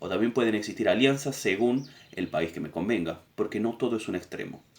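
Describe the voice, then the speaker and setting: A man talks fairly quickly in an ordinary speaking voice, with ordinary pitch variation. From Argentina. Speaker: political education teacher. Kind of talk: lecture summary.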